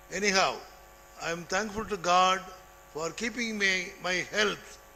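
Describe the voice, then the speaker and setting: Projected and raised, a man's voice sounds bright and sharp at a high pitch. His intonation is monotone and flat, and his pace is fairly slow. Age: 80s+. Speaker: retired college administrator and lecturer. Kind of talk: speech.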